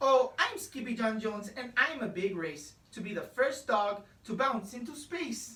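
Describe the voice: Ordinary pitch variation in plain reading aloud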